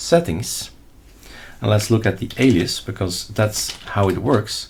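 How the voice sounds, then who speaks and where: With a Flemish accent, a man speaks at a fairly slow pace in a somewhat breathy voice. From Flanders, Belgium. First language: Dutch (Flemish). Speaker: Linux tutorial YouTuber. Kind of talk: screen-recorded tutorial. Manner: casual, thinking aloud while demonstrating.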